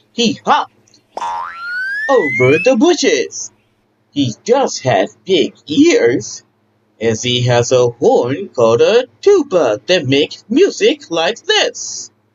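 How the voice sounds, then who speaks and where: Using a put-on character voice, a man speaks at a very slow pace. Sound effects play in the background. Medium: read story. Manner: warm, upbeat.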